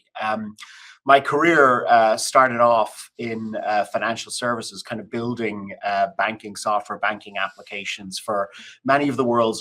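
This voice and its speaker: In an Irish accent, a man speaks with a bright, sharp tone. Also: very clean recording, silent background. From Ireland. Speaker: business executive. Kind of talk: interview conversation.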